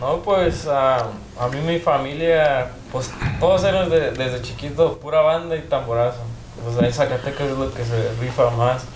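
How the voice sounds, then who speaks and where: There is noticeable background noise and audible room echo around a man talking at a fairly slow pace. His pitch is fairly high, with ordinary pitch variation. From Denver, Colorado. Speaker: bajo quinto player. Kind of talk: casual chat.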